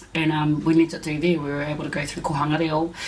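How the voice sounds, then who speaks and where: Someone with a New Zealand accent speaks at a very fast pace over noticeable background noise. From West Auckland, New Zealand. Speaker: interviewee. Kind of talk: interview.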